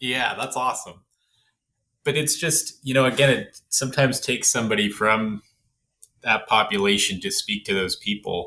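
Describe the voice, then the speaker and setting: Moderately paced, a man speaks at medium pitch in a bright, sharp tone with ordinary pitch variation. The recording is very clean, with a silent background. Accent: Canadian. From Canada. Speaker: podcast host. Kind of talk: podcast interview. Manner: casual, filler-heavy.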